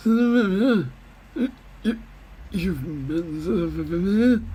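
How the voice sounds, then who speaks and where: In a put-on character voice, a man speaks high and at a very slow pace. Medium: solo performance. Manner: reminiscing, sentimental.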